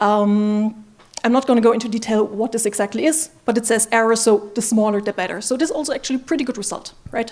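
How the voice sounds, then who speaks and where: A woman talks at a very fast pace with a non-native accent. Her pitch is fairly high. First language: not English. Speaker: machine learning engineer, conference speaker. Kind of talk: conference talk.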